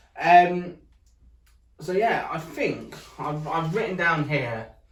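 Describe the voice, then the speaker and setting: A man's voice carries audible room echo. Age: 20s. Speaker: accessibility vlogger. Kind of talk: casual chat. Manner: hesitant, many fillers.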